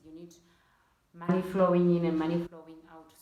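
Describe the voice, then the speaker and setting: A woman with a fairly low pitch speaks with fairly even intonation, with audible room echo and noticeable background noise. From Namibia. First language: a Namibian language. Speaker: YouTuber. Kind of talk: casual vlog talk.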